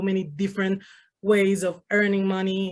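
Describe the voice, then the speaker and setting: Here a woman speaks at a medium pitch with a Spanish accent. The background is quiet. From Venezuela. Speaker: Spanish-speaking correspondent. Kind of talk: interview.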